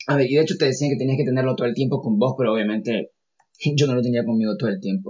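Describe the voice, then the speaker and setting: At a very fast pace, a man speaks at medium pitch with ordinary pitch variation and very even loudness. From Nicaragua. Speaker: architect and researcher. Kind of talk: interview testimony. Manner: halting, with many fillers and repetitions.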